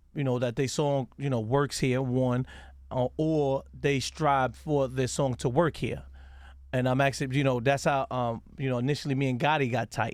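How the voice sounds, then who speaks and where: A man's medium-pitched, monotone, flat voice in an American accent at a moderate pace, in a very clean recording with a silent background. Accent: New York accent, noticeable to Southerners. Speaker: radio DJ and interviewer. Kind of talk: casual interview. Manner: halting, many fillers.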